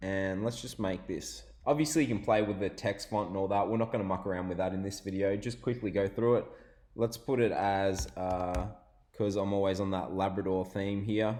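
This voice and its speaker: This man has an Australian accent and a fairly low pitch. His tone is dark and mellow, and his intonation fairly even. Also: moderate pace. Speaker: online business tutorial youtuber. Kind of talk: screen-share tutorial.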